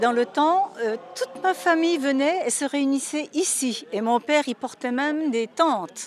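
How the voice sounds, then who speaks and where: The woman's pitch moves in a lively way as she talks. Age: 70s. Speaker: pilgrim. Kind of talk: interview.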